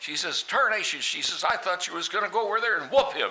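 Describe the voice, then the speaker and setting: A man with an American accent speaks at a fairly quick pace while noticeable background noise runs underneath. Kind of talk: joke telling. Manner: folksy storytelling.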